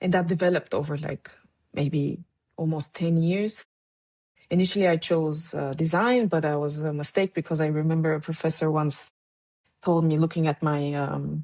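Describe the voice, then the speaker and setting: With a Bulgarian accent, a woman speaks at a moderate pace in a very deep, low pitch, her tone dark and mellow and her intonation fairly even, the sound dry and close with no echo. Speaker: documentary photographer. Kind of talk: interview conversation. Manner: halting, with many fillers.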